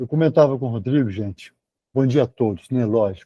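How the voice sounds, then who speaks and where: A man's medium-pitched voice has a dark, mellow tone and ordinary pitch variation, captured as dry, close sound with no echo. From Brazil, Belo Horizonte (Minas Gerais). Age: 60s. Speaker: surgeon, lecturer. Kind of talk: lecture. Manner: halting, with many repetitions.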